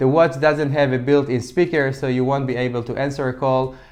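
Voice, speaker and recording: A man speaks in an Israeli accent at a fairly quick pace. His intonation stays fairly even. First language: Hebrew. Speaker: fitness tech reviewer. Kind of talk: product review. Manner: occasional stumbles and false starts.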